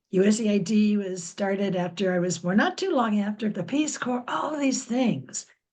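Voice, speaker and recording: Somewhat breathy, a woman with a medium pitch speaks at a moderate pace, with lively intonation and hardly any pauses. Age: 70s. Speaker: audience member asking a question. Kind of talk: audience Q&A question. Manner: halting.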